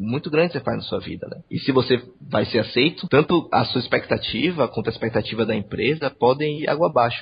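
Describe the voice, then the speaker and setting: A man speaks at a very fast pace with hardly any pauses, in a fairly high, somewhat breathy voice. His intonation is lively. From Salvador, Bahia, Brazil. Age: 20s. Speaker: engineering trainee. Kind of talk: interview.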